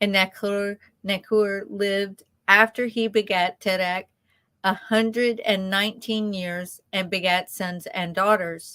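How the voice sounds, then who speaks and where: A woman with a Southern US accent speaks at a medium pitch and a fairly slow pace. Her tone is bright and sharp, her intonation monotone and flat. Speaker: ministry co-host, scripture reader. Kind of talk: reading aloud scripture.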